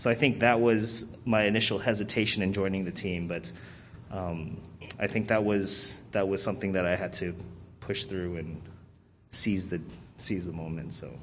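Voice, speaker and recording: Pitch varies in an ordinary way, broken by long, frequent pauses. Music plays in the background, and the room echo is audible. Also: man, fairly low pitch for a man, moderate pace. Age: 30s. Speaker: church member, bass player. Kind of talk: testimony. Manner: halting, many fillers.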